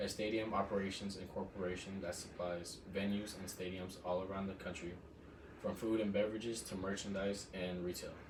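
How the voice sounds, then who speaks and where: A man's fairly low, monotone, flat voice at a fairly quick pace, with noticeable background noise. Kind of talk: informative class speech. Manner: formal, prepared.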